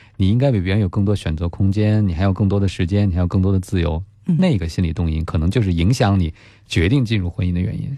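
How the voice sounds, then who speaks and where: Very fast and very deep, a man's low voice has a dark, mellow tone and ordinary pitch variation on a very clean recording with a silent background. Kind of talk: radio advice show. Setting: studio.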